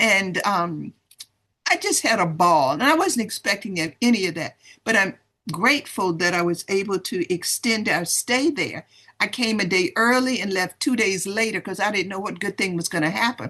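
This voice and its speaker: Her tone is bright and sharp, her pitch medium for a woman. She speaks at a moderate pace with lively intonation. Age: 70s. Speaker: retired professor and sales distributor. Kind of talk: testimony. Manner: animated.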